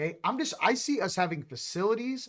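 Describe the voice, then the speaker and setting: An animated man with lively intonation on a very clean recording over a silent background. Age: 40s. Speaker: spiritual channel host. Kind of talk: casual livestream chat. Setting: livestream with chat.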